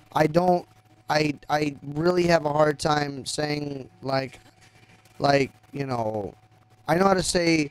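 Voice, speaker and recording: A man speaks very slowly at a fairly high pitch, leaving long, frequent pauses. His intonation stays fairly even. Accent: South Texas. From US South, Texas (Rio Grande Valley). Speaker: gaming live streamer. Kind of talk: casual chat. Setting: live stream. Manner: halting.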